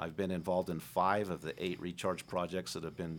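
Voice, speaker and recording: On a very clean recording with a silent background, a man with a very deep, low voice speaks at a fairly quick pace with fairly even intonation. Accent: American. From Moab, Utah. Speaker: county commissioner. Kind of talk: debate. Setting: studio. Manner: halting.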